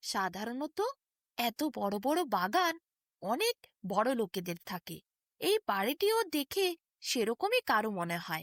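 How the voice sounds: Fairly bright in tone and fairly high in pitch, a woman speaks slowly with big pitch swings, the sound dry and close with no echo in a very clean recording over a silent background.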